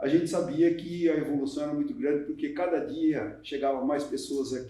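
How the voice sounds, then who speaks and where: A man with a high voice swings his pitch very widely while the room echo is audible. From northern Paraná, Brazil. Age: 70s. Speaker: mayor. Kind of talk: documentary interview.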